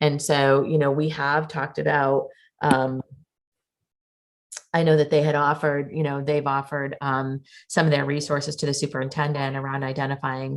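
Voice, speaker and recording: A woman speaks with a Boston accent in a very deep, low pitch. Her intonation is monotone and flat, at a moderate pace. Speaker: school committee member chairing subcommittee. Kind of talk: public meeting discussion.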